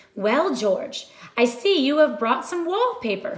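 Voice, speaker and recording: A woman puts on a character voice, high-pitched and at a fairly slow pace. Her pitch swings very widely. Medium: read story.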